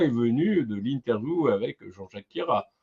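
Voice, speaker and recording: Speaking at a fairly slow pace, a man makes very wide pitch swings. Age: 40s. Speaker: web TV interviewer. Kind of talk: interview.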